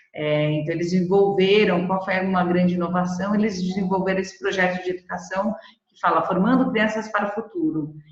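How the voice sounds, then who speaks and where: In a room with audible echo, a woman speaks at a fairly quick pace with a medium pitch and fairly even intonation. Her loudness swings widely. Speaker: presenter from B Corp movement organization. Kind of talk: webinar presentation.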